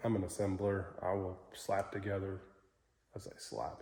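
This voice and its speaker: A man's voice sits at a fairly low pitch with a dark, mellow tone. It comes across somewhat breathy. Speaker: engine builder. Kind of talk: tutorial. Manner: halting; casual.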